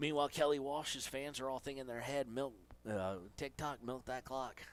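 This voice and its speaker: Speaking with an Appalachian accent, a man keeps a medium pitch, fairly even intonation and a moderate pace. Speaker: sports play-by-play announcer. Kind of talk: live commentary.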